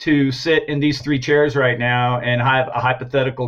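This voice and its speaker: A man speaks at a moderate pace in a medium pitch. His voice is somewhat breathy, with monotone, flat intonation. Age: 50s. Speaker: graphic artist and art director. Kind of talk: interview.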